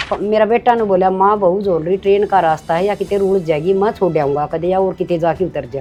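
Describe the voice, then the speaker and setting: A woman with a Haryana accent speaks at a moderate pace with hardly any pauses, her medium pitch showing ordinary variation over music in the background. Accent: Haryanvi. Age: old. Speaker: actress. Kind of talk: interview answer.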